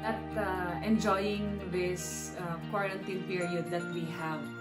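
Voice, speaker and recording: Loud music fills the background. Over it, a woman talks. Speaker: vlogger. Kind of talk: casual vlog chat. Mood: warm, positive. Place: home room. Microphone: phone near.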